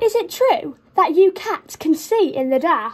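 In a put-on character voice, a woman delivers her lines at a fairly slow pace and an extremely high pitch. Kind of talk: storybook read-aloud. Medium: read story. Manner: barking, blustery. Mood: curious challenge.

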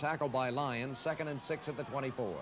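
At a moderate pace, a man talks with a fairly high pitch and ordinary pitch variation over noticeable background noise. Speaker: radio play-by-play announcer. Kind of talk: live radio football play-by-play commentary. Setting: radio broadcast of a college football game, 1981 archive. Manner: brisk, rhythmic, announcer cadence calling each down, yard line and gain; measured and clear, building excitement at big plays.

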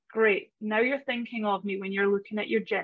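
Against a quiet background, a woman with a Scottish accent talks at a moderate pace. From Scottish Highlands. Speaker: personal brand strategist. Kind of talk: casual interview. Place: home room. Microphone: video call.

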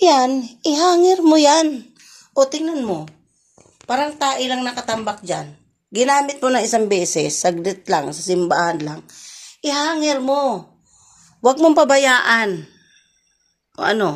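A woman speaks loudly at a high pitch with very wide pitch swings. Her pace is fairly slow, broken by long, frequent pauses. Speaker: vlogger and mother. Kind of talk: scolding her child in a home vlog. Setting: at home. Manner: loud, sounds angry.

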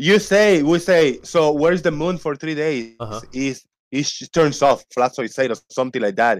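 A man with a fairly high pitch speaks at a moderate pace with lively intonation. The background is quiet. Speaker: debate participant. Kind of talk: heated debate. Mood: challenging, argumentative. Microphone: video call.

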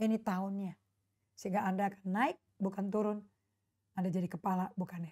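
Somewhat breathy and animated in tone, a woman talks at a fairly quick pace over a quiet background. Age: 60s. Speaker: pastor. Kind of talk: sermon. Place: home room. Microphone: lapel.

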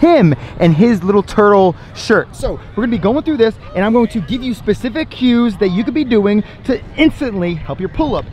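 Over light background noise, a man talks at a fairly quick pace with lively intonation in a dry sound with no echo. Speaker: fitness coach. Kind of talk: tutorial. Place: beach. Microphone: phone near.

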